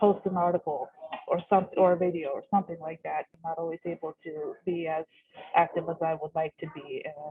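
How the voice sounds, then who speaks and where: A woman with a Pacific Northwest accent speaks at a moderate pace in a fairly low pitch. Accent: American, Pacific Northwest. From US Pacific Northwest, Seattle. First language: Russian. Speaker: bookstore worker. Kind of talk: casual chat. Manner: halting, many fillers.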